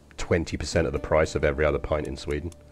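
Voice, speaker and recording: Here a man talks at a very fast pace. His voice has vocal fry. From England, Stevenage (Hertfordshire). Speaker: video game streamer. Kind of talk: gameplay commentary with chat. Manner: casual, rambling with fillers.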